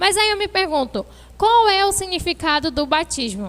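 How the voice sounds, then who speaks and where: In a bright, sharp tone, the woman delivers her words fairly slowly. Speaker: youth preacher. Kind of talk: sermon. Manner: halting.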